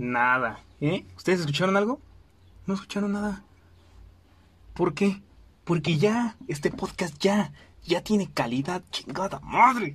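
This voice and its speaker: A man with a Mexican accent speaks at a fairly slow pace in a high voice, with lively intonation. His speech has long, frequent pauses. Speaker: podcast host. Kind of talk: casual monologue. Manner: animated.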